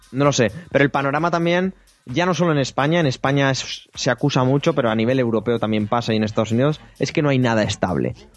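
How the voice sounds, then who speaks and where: Very fast speech from a man, medium-pitched with ordinary pitch variation and very even loudness, on a very clean recording with a silent background. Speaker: podcast host. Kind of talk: casual chat. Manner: animated.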